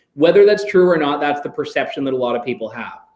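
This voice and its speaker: A man speaks with a Canadian accent in a plain, everyday voice. His pitch is fairly high, with ordinary variation. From Canada. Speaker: radio host. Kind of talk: Q&A session with students.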